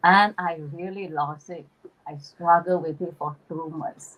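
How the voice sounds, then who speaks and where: A woman speaks with a strong Malaysian accent. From East Malaysia (Borneo), Chinese Malaysian. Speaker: spiritual channeler, YouTuber. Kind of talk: casual chat on a livestream.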